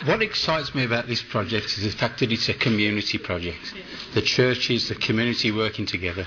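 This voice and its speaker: Very fast and with a West Midlands accent, a man talks at a medium pitch with ordinary pitch variation, noticeable background noise behind him. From West Midlands, England. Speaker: food bank volunteer. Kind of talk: interview. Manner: animated.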